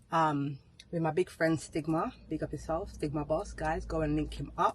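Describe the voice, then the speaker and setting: Vocal fry in a woman's very deep, low voice at a moderate pace. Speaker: lifestyle vlogger. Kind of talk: casual vlog chat. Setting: on the go. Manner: animated.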